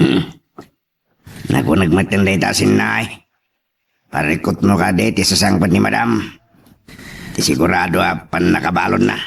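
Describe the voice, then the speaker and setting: Putting on a character voice, a man speaks raspy and very deep and low, with long, frequent pauses. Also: moderate pace. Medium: audio drama.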